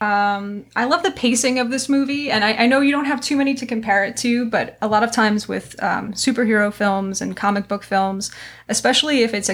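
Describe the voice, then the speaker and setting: A woman with a plain, everyday voice and an American accent talks at a fairly quick pace with ordinary pitch variation. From New York. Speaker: history and literature teacher, podcast host. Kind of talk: casual discussion podcast.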